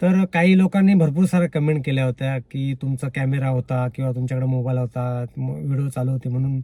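Recorded dry and close with no echo, a man speaks at a medium pitch with ordinary pitch variation. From Konkan, Ratnagiri district (Sangameshwar). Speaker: YouTube vlogger. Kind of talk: casual vlog monologue. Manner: halting, with repetitions and restarts.

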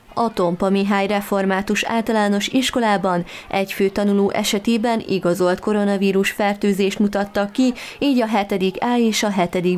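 A woman's medium-pitched voice at a moderate pace, with fairly even intonation, over noticeable background noise. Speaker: local TV news reader. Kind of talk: news reading.

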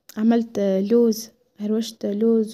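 With a Tunisian accent, a woman speaks in a fairly high, dark, mellow voice with monotone, flat intonation. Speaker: lifestyle vlogger. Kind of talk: casual home vlog narration. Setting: at home.

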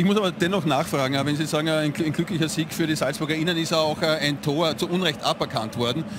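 A man's fairly high voice at a very fast pace, hardly any pauses, fairly even intonation and very even loudness, over noticeable background noise. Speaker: TV sports presenter. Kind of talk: post-match TV sports interview.

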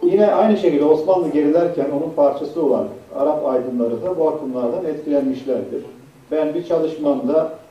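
A man's lively intonation at a moderate pace, over noticeable background noise. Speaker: professor, Middle East researcher. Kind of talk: conference lecture. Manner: halting, many fillers.

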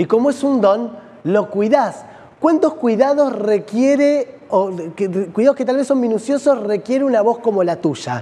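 A man with a Rioplatense accent, extremely high-pitched, with ordinary pitch variation and a fairly slow pace. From Argentina. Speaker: TV host. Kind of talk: TV interview. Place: studio. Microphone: lapel.

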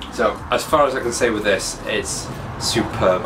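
A man speaks with noticeable background noise. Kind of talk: casual vlog chat. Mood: pleased, enthusiastic. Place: workshop.

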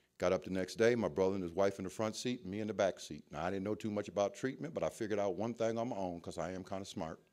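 In an American accent, a man with a fairly low pitch speaks very fast with hardly any pauses against a quiet background. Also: ordinary pitch variation. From Ohio, US Midwest. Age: 50s. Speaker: recovery speaker. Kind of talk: testimony. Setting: stage with audience.

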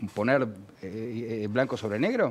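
This man talks at a moderate pace. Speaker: TV panelist. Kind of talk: TV interview. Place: studio.

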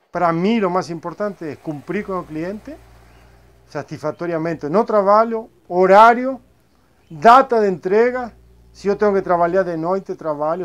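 A man with a high voice speaks at a fairly slow pace. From Argentina, Buenos Aires. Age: 50s. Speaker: upholsterer. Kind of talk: interview. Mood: proud, calm. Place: workshop.

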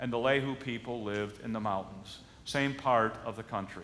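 With an American accent, the speaker talks at a moderate pace with ordinary pitch variation. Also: man. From Michigan, US Midwest. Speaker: pastor. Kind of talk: sermon. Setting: church. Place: church.

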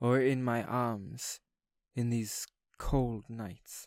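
At a very slow pace, a man speaks at medium pitch with monotone, flat intonation in a very clean recording with a silent background. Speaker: spoken word poet. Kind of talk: poetry reading. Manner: tender, slow.

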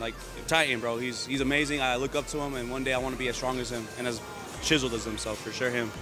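A man at a very fast pace, fairly even in intonation, with a dry, echo-free sound and clear music in the background. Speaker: interviewee. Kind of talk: interview answer. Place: gym. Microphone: handheld.

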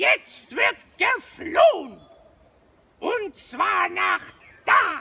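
In a put-on character voice pitched extremely high, someone shouts at a very slow pace, with long, frequent pauses. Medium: comedy sketch. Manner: confident, oblivious.

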